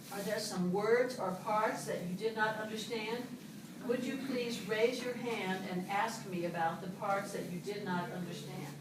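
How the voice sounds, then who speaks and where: Speaking at a fairly slow pace with an American accent, a woman with a fairly high pitch and ordinary pitch variation is heard over noticeable background noise and audible room echo. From USA. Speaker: English teacher. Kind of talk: classroom lesson. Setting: classroom with students. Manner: slow, clear.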